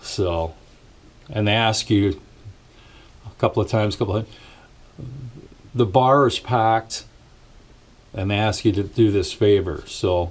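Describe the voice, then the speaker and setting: A man speaks at a fairly slow pace in a fairly low, somewhat breathy voice. His pitch varies in an ordinary way. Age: 60s. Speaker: musician and vlogger. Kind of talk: casual vlog rant. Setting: small home studio. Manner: hesitant, many fillers.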